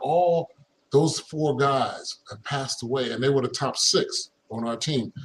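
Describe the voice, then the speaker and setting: At a very slow pace, a man speaks in a somewhat breathy voice with a fairly high pitch. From Philadelphia, US. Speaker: former pro basketball player. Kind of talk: casual interview.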